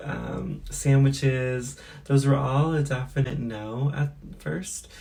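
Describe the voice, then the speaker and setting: A woman's very deep, low voice with a dark, mellow tone and fairly even intonation, set in audible room echo. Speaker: beauty and lifestyle vlogger. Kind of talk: casual vlog talk to camera. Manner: casual with many fillers.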